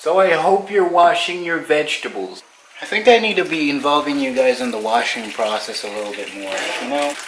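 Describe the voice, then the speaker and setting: Amid noticeable background noise, a man with a fairly high pitch talks at a fairly quick pace, swinging his pitch very widely. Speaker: cooking vlogger. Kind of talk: casual vlog tutorial. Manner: loud; animated.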